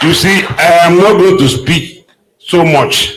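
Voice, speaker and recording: A man's voice with audible room echo. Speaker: veterinarian giving goodwill message. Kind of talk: formal speech at event.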